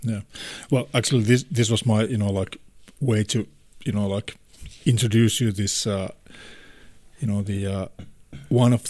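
With a Finnish accent, a man speaks at a moderate pace in a medium pitch that is somewhat breathy and has ordinary pitch variation. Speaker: podcast host. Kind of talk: casual chat.

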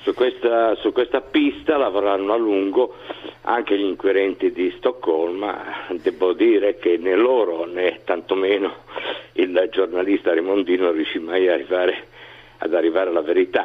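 Over noticeable background noise, a man talks at a moderate pace with very even loudness. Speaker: journalist interviewee. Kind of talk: interview answers. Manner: hesitant, halting with repetitions.

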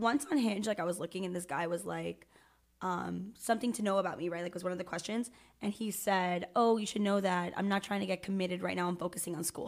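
At a very fast pace, a woman talks in a medium pitch with fairly even intonation. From Miami. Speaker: teacher. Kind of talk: casual chat. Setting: studio.

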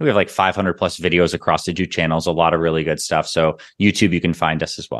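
A man talks at a very fast pace in a very deep, low voice with fairly even intonation. The background is quiet. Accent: Canadian. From Toronto, Canada. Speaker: naturopathic doctor and fitness company founder. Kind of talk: interview.

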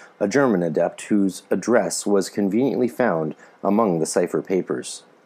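Speaking at a moderate pace in a Canadian accent, a man has a very deep, low pitch, a dark, mellow tone, and ordinary pitch variation. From Canada. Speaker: podcast host and author. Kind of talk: reading aloud a text with commentary.

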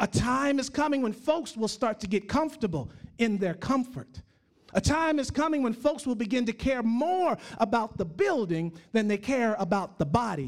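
Extremely high in pitch, a man talks at a moderate pace. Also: lively intonation. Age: 40s. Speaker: pastor. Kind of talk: sermon.

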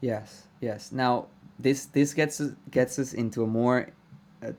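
Fairly even intonation marks this man's dark, mellow tone. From Venezuela. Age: 20s. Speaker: podcast host. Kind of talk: interview conversation. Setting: video call.

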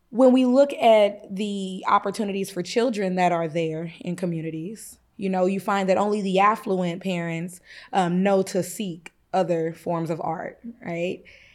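A woman with an American accent and an ordinary speaking voice talks at a fairly slow pace and a medium pitch, with ordinary pitch variation, on a very clean recording with a silent background. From Kansas. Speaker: music educator and youth orchestra director. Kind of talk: interview.

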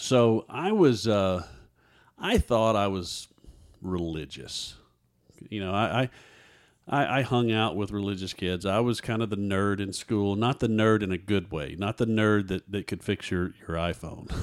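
In an unremarkable speaking voice, a man with an American accent talks fairly slowly in a fairly low pitch, with ordinary pitch variation. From Texas. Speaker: guest telling life story. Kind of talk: testimony.

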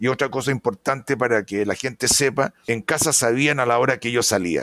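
Speaking at a moderate pace, this man has an ordinary speaking voice and ordinary pitch variation. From Chile. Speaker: veterinarian and pig production consultant. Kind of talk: interview.

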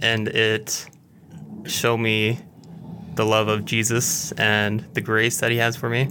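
A man with an American accent speaks at a very slow pace, with very even loudness and long, frequent pauses, against noticeable background noise. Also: medium pitch for a man, fairly even intonation. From Utah, US. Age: 20s. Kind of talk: testimony.

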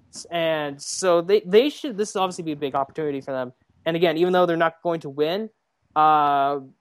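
Dry and close with no echo, this recording holds a woman's fairly low voice over a quiet background. Her pitch varies in an ordinary way. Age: 20s. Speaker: wrestling writer. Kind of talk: casual chat. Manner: halting.

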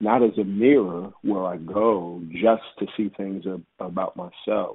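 A man with an American accent speaks at a fairly low pitch with ordinary pitch variation. He has a normal speaking voice. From Texas (Houston). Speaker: pastor. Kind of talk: podcast interview.

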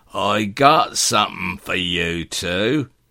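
Putting on a character voice, a man speaks very slowly in a raspy, fairly low tone with lively intonation. The recording is very clean with a silent background. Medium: read story. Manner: humble.

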